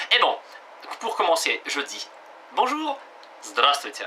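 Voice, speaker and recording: Noticeable noise can be heard in the background. Through it, a man talks fairly slowly. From Russia. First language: Russian (speaking French). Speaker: language teacher. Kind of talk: tutorial. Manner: halting, many hesitations.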